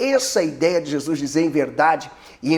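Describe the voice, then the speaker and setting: A man speaks at a moderate pace with a fairly high pitch and lively intonation. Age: 30s. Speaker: pastor. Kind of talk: preaching tutorial. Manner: animated.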